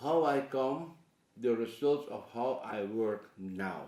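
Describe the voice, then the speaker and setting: A man with a Surinamese accent, at a very slow pace. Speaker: painter and artist. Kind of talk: interview monologue. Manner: halting.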